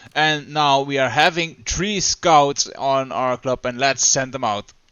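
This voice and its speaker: A man speaks with a Dutch accent. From Netherlands. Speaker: gaming YouTuber. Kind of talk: gameplay commentary. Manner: halting, with fillers.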